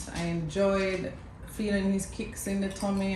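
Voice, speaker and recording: Noticeable background noise and audible room echo are both present in the recording. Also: woman. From Jamaica. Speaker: mother of the channel owner, former pageant queen. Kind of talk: storytelling. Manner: casual, conversational.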